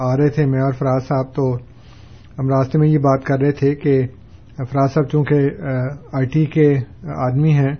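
Fairly high in pitch and somewhat breathy, a man speaks with monotone, flat intonation. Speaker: religious scholar answering listener questions. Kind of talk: call-in religious discussion. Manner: calm, never bitter in tone.

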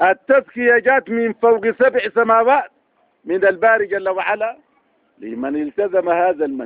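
A man speaks at an extremely high pitch with vocal fry and lively intonation. The pace is fairly quick, and the sound is dry and close with no echo.

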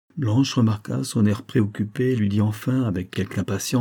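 A text is read aloud in a natural voice.

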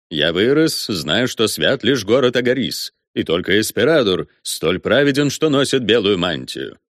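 Reading aloud in a natural voice with lively intonation, over a quiet background.

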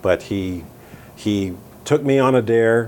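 A man speaks with an American accent and fairly even intonation. Noticeable background noise runs behind him. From US, Southern California (Downey). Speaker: orchestral tuba player. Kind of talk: interview. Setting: in person, Midtown Manhattan.

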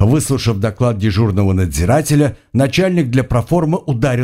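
The speaker uses an unforced reading voice, its intonation lively.

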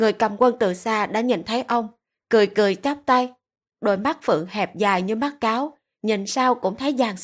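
Over a quiet background, a natural reading voice moves with ordinary pitch variation.

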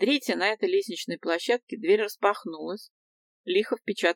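Behind an unforced reading voice, the surroundings stay quiet.

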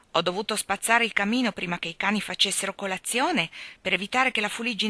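Someone reads in an unforced voice whose pitch moves in an ordinary way.

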